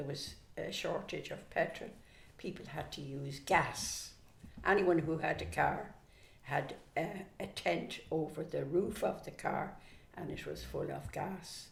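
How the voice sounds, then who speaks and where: In a Dublin accent, a woman speaks at a fairly slow pace. Room echo is audible. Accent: Dublin Irish. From Ireland, Dublin. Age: 80s+. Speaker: grandmother interviewee. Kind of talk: casual interview.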